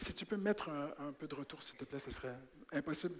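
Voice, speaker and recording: This man's pitch is fairly high. He talks fairly quickly. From Quebec. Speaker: preacher. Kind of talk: sermon. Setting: church. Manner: animated.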